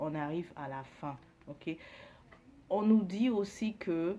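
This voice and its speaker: A woman's voice, fairly low in pitch. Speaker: psychic tarot reader. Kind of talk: collective tarot reading. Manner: hesitant, many fillers.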